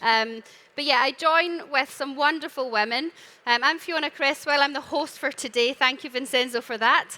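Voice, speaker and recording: In a Scottish accent, a woman with a high pitch speaks at a moderate pace in a raised, projected voice, her tone bright and sharp and her pitch varying in an ordinary way. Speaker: panel moderator. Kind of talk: live panel discussion. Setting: stage with audience.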